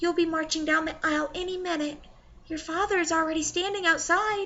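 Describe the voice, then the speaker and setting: In a put-on character voice, a woman talks at a fairly quick pace, squeaky and extremely high-pitched, her intonation fairly even. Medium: read story. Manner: cheerful, gushing.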